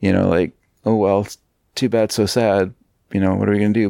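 In a very clean recording with a silent background, a man speaks with a fairly low pitch, a dark, mellow tone and monotone, flat intonation, the sound dry and close with no echo. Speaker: podcast co-host. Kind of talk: casual chat. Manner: chatty, meandering, often hesitant.

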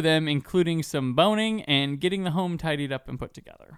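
A man with a normal speaking voice talks at a fairly quick pace, his pitch fairly high and his intonation lively. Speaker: podcast host. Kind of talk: casual chat.

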